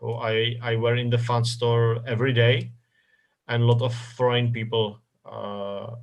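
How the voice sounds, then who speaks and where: A man's medium-pitched, somewhat breathy voice with a Czech accent, fairly slow, with audible room echo. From Czech Republic, north Bohemia. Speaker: football club communications director. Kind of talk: interview. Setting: live stream interview. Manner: halting, many repetitions and fillers.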